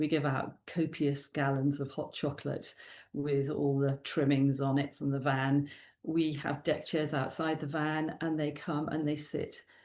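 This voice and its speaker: Against a quiet background, a woman speaks at a fairly slow pace in a very deep, low pitch with monotone, flat intonation. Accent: Welsh. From South Wales. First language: Welsh. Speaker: youth worker and children's author. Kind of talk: interview. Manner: halting.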